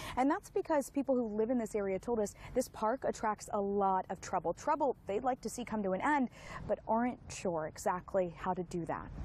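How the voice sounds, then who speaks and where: Here is a woman with an unremarkable speaking voice. She talks at a fairly quick pace with lively intonation. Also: fairly high pitch for a woman. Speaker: television news reporter. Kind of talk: broadcast news reporter standalone.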